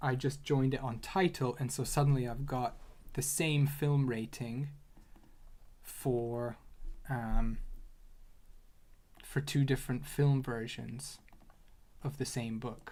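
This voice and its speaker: A man talks at a very slow pace with long, frequent pauses. His intonation stays fairly even. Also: medium pitch for a man. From Hungary. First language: Hungarian. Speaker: data analyst streamer. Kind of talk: livestream tutorial and casual chat. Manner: halting, many repeated words.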